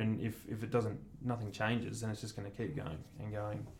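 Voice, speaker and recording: There is audible room echo around a man with an Australian accent. His fairly low voice keeps a fairly even intonation. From Australia, Mornington Peninsula, Victoria. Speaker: commercial photographer. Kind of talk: casual chat. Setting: studio.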